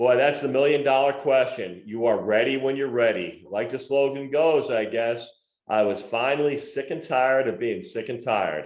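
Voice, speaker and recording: A man speaks at a moderate pace with medium pitch and ordinary pitch variation. Room echo is audible. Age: 60s. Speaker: podcast co-host. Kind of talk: casual chat; reading aloud from own memoir.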